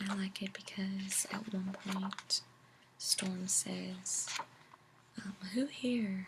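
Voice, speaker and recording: A soft-spoken woman with a medium pitch and monotone, flat intonation, amid noticeable background noise. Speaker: ASMR creator. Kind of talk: casual talk to camera about comics.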